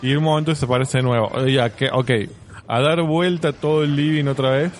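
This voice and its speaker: A man is talking amid noticeable background noise. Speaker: podcast co-host. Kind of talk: casual chat.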